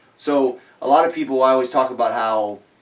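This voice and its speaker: A man keeps a fairly quick pace as noticeable background noise carries on beneath him. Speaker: fitness personality, interviewer. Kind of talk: casual interview questions.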